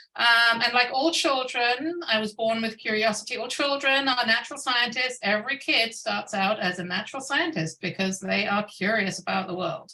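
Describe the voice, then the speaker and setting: Amid noticeable background noise, a woman with a fairly high pitch talks at a moderate pace, with lively intonation and hardly any pauses. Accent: British. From United Kingdom. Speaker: scientist. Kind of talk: keynote talk. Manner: hesitant, many fillers.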